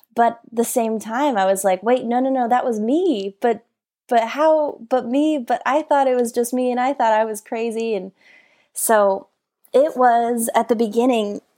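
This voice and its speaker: In an American accent, a woman speaks at a moderate pace and a fairly high pitch, in an ordinary speaking voice. The recording is very clean, with a silent background. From Colorado, US. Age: 20s. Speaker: author and motivational speaker. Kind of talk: interview.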